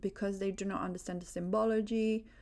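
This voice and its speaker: In a Romanian accent, a woman speaks at a medium pitch with monotone, flat intonation on a very clean recording with a silent background. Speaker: religious video creator. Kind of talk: religious monologue. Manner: halting, many fillers.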